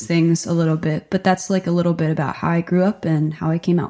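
In a very clean recording with a silent background, a woman speaks in an ordinary speaking voice with an American accent. Her pitch is fairly low and her intonation fairly even. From New Jersey, rural Delaware River town. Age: 20s. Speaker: musician. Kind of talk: casual interview monologue.

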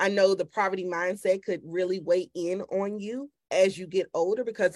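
At a moderate pace and medium pitch, a woman talks in an ordinary speaking voice. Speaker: podcast host and women's ministry leader. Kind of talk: casual interview chat. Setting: podcast recording.

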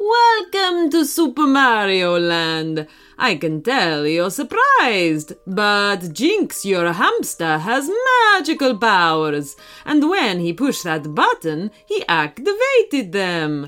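A woman puts on a character voice at a medium pitch, with a fairly bright tone and very wide pitch swings. She talks at a slow pace with few pauses.

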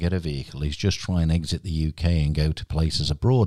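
This man has a British accent and a dark, mellow tone. The recording is very clean with a silent background, and the sound is dry and close with no echo. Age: 50s. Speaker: podcast host. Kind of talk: casual interview. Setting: studio.

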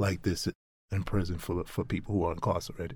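This man's words come at a fairly quick clip. A somewhat breathy quality runs through his voice. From Brownsville, Brooklyn, New York. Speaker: nonprofit program associate, former prisoner. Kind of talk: interview.

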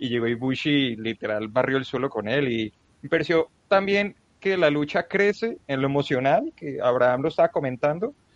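A man with a plain, everyday voice talks at a moderate pace with lively intonation. The sound is dry and close, with no echo. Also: fairly high pitch for a man. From Colombia. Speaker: wrestling journalist. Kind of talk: casual chat.

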